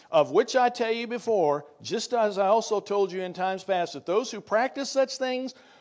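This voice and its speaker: A man is heard on a very clean recording against a silent background. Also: big swings in loudness. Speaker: pastor. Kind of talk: sermon. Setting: church.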